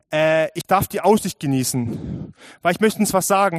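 On a very clean recording with a silent background and a dry, close sound with no echo, a man with a high voice speaks at a moderate pace. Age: 20s. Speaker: youth worker and lay preacher. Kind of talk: sermon. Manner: animated.

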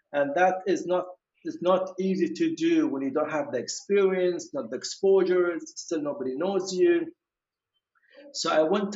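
This man speaks at a fairly slow pace with a Kuwaiti accent, a high pitch and lively intonation. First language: Arabic. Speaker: orthodontist. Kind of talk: interview conversation. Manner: hesitant, many fillers.

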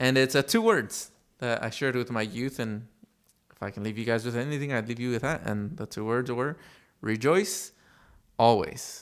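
A man with an American accent talks at a moderate pace and a medium pitch with ordinary pitch variation. He leaves long, frequent pauses in a very clean recording with a silent background. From US West Coast, Los Angeles. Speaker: youth pastor, podcast co-host. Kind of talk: casual chat.

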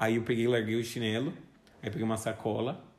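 There is audible room echo around a man's voice. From Brazil, São Paulo city. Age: 20s. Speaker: podcast co-host, university student. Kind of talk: casual chat.

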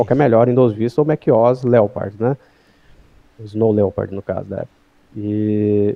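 A man talks in an unremarkable speaking voice at medium pitch. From Goiânia, Brazil. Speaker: motion designer. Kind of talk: casual interview.

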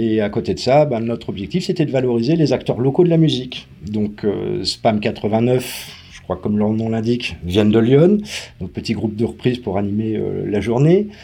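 With noticeable background noise, a man speaks at a medium pitch. His pace is moderate and his intonation lively. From Paris, France. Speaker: event organizer. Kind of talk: interview.

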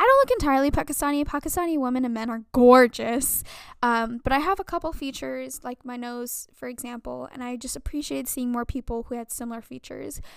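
Talking at a very fast pace, a woman with a high pitch and ordinary pitch variation shows big swings in loudness on a very clean recording with a silent background. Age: 20s. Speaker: podcast host. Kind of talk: personal monologue. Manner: casual, filler-heavy.

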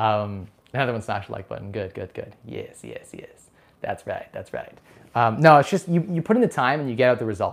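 Speaking at a fairly quick pace, a man's loudness swings widely. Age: 20s. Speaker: personal finance YouTuber. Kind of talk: casual live stream chat.

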